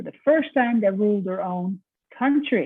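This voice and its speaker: Her medium-pitched voice carries a Dutch accent as the woman speaks. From Netherlands. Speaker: professor. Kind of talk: lecture.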